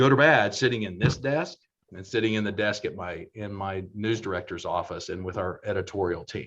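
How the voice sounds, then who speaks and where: A normal speaking voice from a man with an American accent, fairly low-pitched and fairly quick, with ordinary pitch variation and big swings in loudness. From Oklahoma. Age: 60s. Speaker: television station general manager. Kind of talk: panel discussion.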